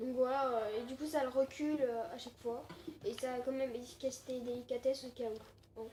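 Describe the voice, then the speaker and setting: Noticeable background noise is present throughout. The delivery is fairly quick, and the intonation stays fairly even. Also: woman. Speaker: gaming YouTuber. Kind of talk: gameplay commentary. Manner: hesitant, many fillers.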